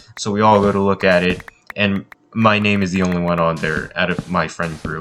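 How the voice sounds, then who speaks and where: A man's very deep, low voice in a flat monotone, over noticeable background noise. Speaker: gaming YouTuber. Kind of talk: voice-over commentary storytelling. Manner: stuttering; casual, filler-heavy.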